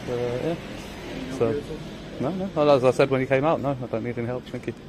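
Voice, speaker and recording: A man's fairly high voice at a fairly quick pace, with fairly even intonation over noticeable background noise. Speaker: auditor filming police. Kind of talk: confrontational street exchange. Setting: outdoors on public footpath.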